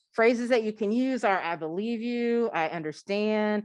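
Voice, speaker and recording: A woman speaks at a fairly high pitch with lively intonation against a quiet background. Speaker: conference speaker on allyship. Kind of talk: conference talk. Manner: fast.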